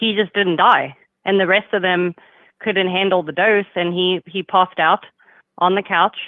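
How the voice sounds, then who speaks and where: In a monotone, flat intonation, a woman talks at a moderate pace and a medium pitch. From South Africa. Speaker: caller. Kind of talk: casual chat.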